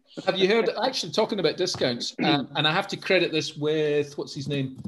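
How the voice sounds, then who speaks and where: In a normal speaking voice, a man talks at a fairly quick pace with a fairly high pitch. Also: ordinary pitch variation. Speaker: solicitor, property investor, podcast host. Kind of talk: casual podcast conversation.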